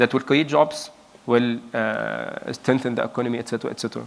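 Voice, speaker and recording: There is noticeable background noise as a man speaks at a medium pitch. His pace is very fast. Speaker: energy and mobility executive, keynote speaker. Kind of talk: conference keynote talk. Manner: halting, many fillers and restarts.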